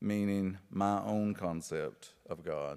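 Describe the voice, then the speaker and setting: A man speaks with an Appalachian accent at a fairly low pitch. Music plays in the background. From Appalachia, rural Kentucky. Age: 50s. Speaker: author and poet giving a lecture. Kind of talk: lecture.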